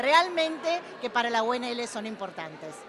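Noticeable noise sits behind a woman who speaks at a fairly slow pace. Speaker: university official. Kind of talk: interview. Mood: warm, welcoming.

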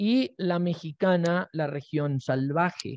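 Against a quiet background, a man speaks in a high voice, the sound dry with no echo. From Colombia (Nariño); Colombia. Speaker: literature researcher; presenter. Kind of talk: academic conference talk; lecture. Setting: video call. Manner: slow. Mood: thoughtful, calm. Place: home room.

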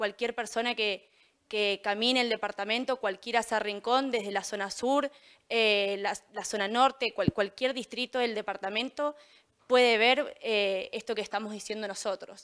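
With an ordinary speaking voice, a woman talks at a fairly slow pace and fairly high pitch, intonation fairly even, over a quiet background. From Mendoza, Argentina. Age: 20s. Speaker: political candidate; council candidate. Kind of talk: campaign statement. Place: studio.

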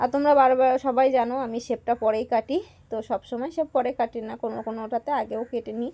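A woman's tone is dark and mellow. Her pitch is fairly high, with fairly even intonation. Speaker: vlogger and home tailor. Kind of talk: casual vlog narration.

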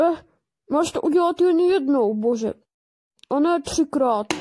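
A woman speaks in a put-on character voice. Her pitch sits high.

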